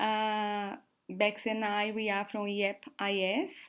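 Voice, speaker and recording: With a Brazilian accent, a woman speaks at medium pitch on a very clean recording with a silent background. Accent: non-native, Brazilian-sounding English. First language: Portuguese. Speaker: work and travel support co-host. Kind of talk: casual livestream chat. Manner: slow, halting.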